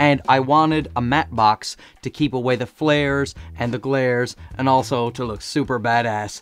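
The voice has a clear, smooth tone, with fairly even intonation and a fairly slow pace. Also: man, medium pitch for a man.

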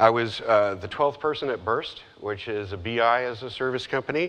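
A man's voice at a moderate pace, with ordinary pitch variation. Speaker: presenter. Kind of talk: conference talk. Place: stage. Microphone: lapel.

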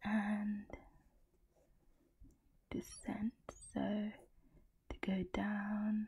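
Soft-spoken woman with a medium pitch, a dark, mellow tone and a somewhat breathy quality, in a monotone, flat intonation at a very slow pace. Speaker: ASMR creator. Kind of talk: ASMR puzzle solving talk.

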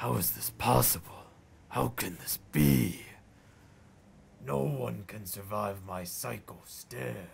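In a put-on character voice, a man speaks raspy and very deep at a fairly slow pace, with long, frequent pauses. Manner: menacing, taunting.

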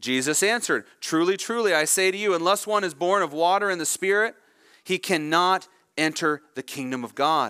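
Against a quiet background, a man talks at a fairly quick pace in a bright, sharp tone. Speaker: preacher. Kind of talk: sermon. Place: church.

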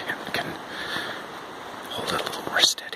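Loud background noise fills this dry recording with no echo. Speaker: hiker vlogger. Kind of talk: ASMR outdoor walk narration. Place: forest. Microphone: phone near.

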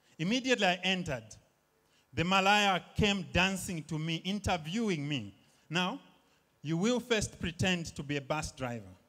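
A man speaks at a moderate pace with lively intonation. His tone is bright and sharp against a quiet background. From Zambia. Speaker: stand-up comedian. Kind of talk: stand-up comedy set. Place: stage. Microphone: handheld.

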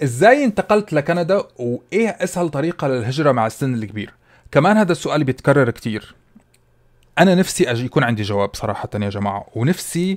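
Very wide pitch swings in a man's fairly high voice, moving at a moderate pace. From UAE, Syrian family. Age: 30s. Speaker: food content creator. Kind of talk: casual Q&A vlog.

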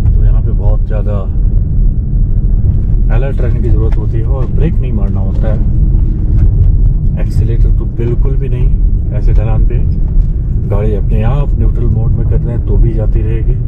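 Against loud background noise, a man speaks at a fairly slow pace, leaving long, frequent pauses. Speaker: travel vlogger. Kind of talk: casual vlog commentary. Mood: calm, cautionary. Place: car. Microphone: phone near.

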